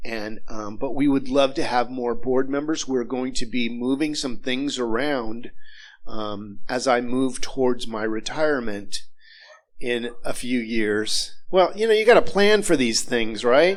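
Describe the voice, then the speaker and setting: With ordinary pitch variation, a man speaks amid audible room echo. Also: medium pitch for a man, fairly slow pace. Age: 60s. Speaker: minister. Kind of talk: church announcements. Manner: casual, halting.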